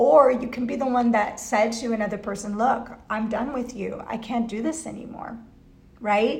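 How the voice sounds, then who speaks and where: Amid noticeable background noise and audible room echo, a woman talks at a fairly high pitch with fairly even intonation. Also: moderate pace. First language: not English. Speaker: tarot reader. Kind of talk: tarot reading livestream. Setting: Facebook live video. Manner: halting, many fillers.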